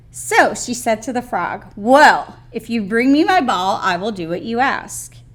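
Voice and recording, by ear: With lively intonation, a person reads aloud in a natural voice.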